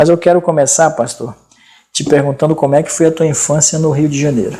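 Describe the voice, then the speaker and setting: In a northern Brazilian accent, a man with a fairly high pitch and a dark, mellow tone speaks at a fairly quick pace with fairly even intonation. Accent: non-local northern Brazilian. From Amazonas, Brazil. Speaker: interview show host. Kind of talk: casual interview. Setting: studio.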